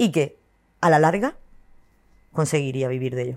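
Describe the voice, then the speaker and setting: A woman with a very deep, low pitch speaks with ordinary pitch variation on a very clean recording with a silent background. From Spain, Murcia. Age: 40s. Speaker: content creator. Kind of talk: interview.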